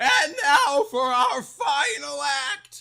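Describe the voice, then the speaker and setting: A high-pitched, put-on character voice does the talking. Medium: read story.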